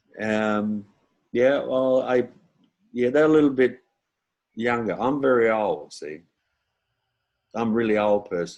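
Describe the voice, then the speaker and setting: Speaking with an Australian accent, a man talks at a fairly slow pace with ordinary pitch variation. He leaves long, frequent pauses. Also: medium pitch for a man. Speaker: comedian and impressionist. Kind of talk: casual chat. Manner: halting.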